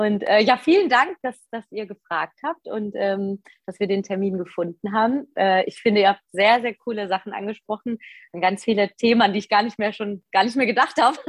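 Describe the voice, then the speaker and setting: This woman has an ordinary speaking voice with fairly high pitch and ordinary pitch variation. She talks at a moderate pace. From Westerwald, Rhineland-Palatinate, Germany. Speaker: musical performer. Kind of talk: casual interview chat.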